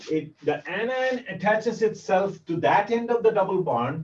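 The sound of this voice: In a Bengali accent, a man with a high pitch and a slightly mellow tone talks at a fairly slow pace with lively intonation and audible room echo. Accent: Bengali-accented Indian English.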